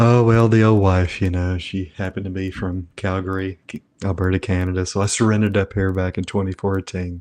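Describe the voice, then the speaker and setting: A man's very deep, low voice in a monotone, flat intonation, at a fairly quick pace with hardly any pauses, dry and close with no echo, over a quiet background. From Tennessee. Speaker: trauma therapist and addiction counselor. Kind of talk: interview.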